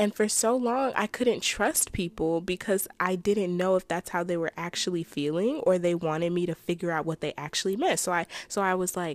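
A woman speaks at a moderate pace and a medium pitch, with ordinary pitch variation, in a dry, close sound with no echo on a very clean recording with a silent background. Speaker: solo podcast host. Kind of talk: casual personal monologue. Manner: halting, trips over words.

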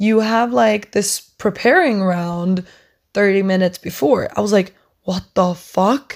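This woman has a plain, everyday voice at a medium pitch. She talks at a fairly slow pace with ordinary pitch variation. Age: young. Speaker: podcast host, upper secondary student. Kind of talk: casual solo rant. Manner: chatty, frequent laughter.

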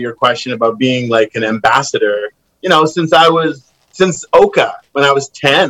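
The sound is dry and close with no echo as a man with a Western Canadian accent talks at a moderate pace. His fairly high voice has a bright, sharp tone and ordinary pitch variation. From Kamloops, British Columbia, Canada. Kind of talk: casual chat.

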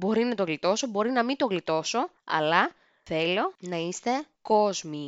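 Here a woman of medium pitch speaks at a fairly slow pace. Her pitch swings very widely. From Greece. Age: 30s. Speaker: podcast host. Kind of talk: casual monologue.

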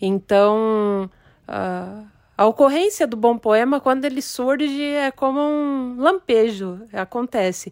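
In a dry, close sound with no echo, a woman with a high pitch speaks at a very slow pace with lively intonation. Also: very clean recording, silent background. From Brazil. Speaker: poet. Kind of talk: interview.

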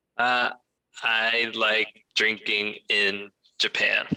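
A man with an American accent, in a dry, close sound with no echo. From Florida. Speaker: former English teacher in Japan. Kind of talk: casual chat.

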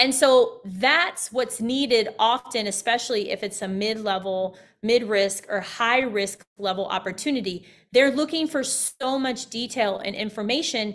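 In a very clean recording with a silent background, a woman with an American accent speaks at a moderate pace and fairly high pitch, animated in tone, with ordinary pitch variation, big swings in loudness and hardly any pauses. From US Midwest. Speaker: government contracting business owner and coach. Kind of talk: interview.

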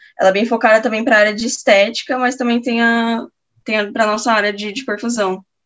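A woman's fairly high voice in a monotone, flat delivery at a fairly quick pace. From Campo Grande, Mato Grosso do Sul, Brazil. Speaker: perfusion postgraduate student. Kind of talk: casual interview. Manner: halting.

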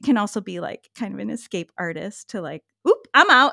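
A bright, sharp tone with vocal fry and lively intonation, dry and close with no echo, on a very clean recording with a silent background. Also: woman. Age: 50s. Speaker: pattern-maker and yoga teacher. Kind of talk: casual interview.

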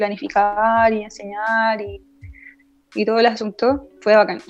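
A woman talks with an ordinary speaking voice. Her pace is moderate. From northern Chile, Arica. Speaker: climbing instructor. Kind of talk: casual chat.

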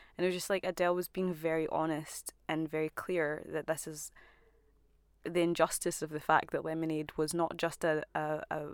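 Woman with a Scottish accent, fairly low pitch and moderate pace, on a very clean recording with a silent background. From Scotland, emigrated from Zimbabwe aged about four. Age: 20s. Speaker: artist and photographer. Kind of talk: casual chat.

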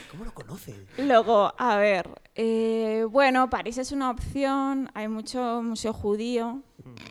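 A woman speaks very slowly, her fairly high pitch held in a fairly even intonation. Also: big swings in loudness. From Catalonia, Sabadell. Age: 30s. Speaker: dating-game contestant on comedy podcast. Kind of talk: casual comedic chat.

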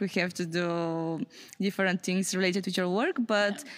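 In a very clean recording with a silent background, a woman with a Bulgarian accent speaks at a moderate pace, medium in pitch and with fairly even intonation. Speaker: youth project organizer. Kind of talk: interview.

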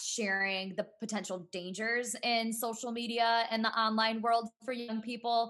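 Loud and bright with a sharp tone, this woman's voice is fairly high in pitch and carries an American accent. Her intonation is monotone and flat. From US Midwest, Cleveland area. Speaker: entrepreneur and author. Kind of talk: casual interview.

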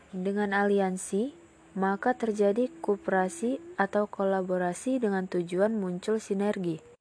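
A woman with a plain, everyday voice speaks at a medium pitch with ordinary pitch variation. Her loudness stays very even and her pace is fairly slow. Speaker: university student. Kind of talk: class presentation. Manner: formal.

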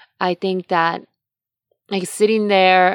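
A woman's plain, everyday voice, fairly low in pitch, with fairly even intonation at a moderate pace, recorded with a dry, close sound and no echo. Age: 30s. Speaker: podcast host and yoga instructor. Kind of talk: solo monologue podcast.

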